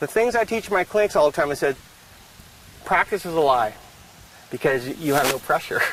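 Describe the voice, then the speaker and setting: Noticeable background noise runs under a fairly quick voice with lively intonation. Long pauses come often. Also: man, fairly high pitch for a man. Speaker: horse trainer, trail clinician. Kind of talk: instructional conversation. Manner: fast.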